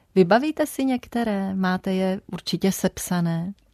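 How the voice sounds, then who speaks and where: Against a quiet background, a woman's medium-pitched, dark and mellow voice comes through at a moderate pace in a dry, close sound with no echo. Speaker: radio host. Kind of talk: radio interview. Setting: studio. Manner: formal.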